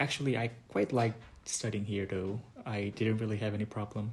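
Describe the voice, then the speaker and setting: The man's voice is somewhat breathy. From South Korea. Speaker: international student. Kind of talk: interview. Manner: halting.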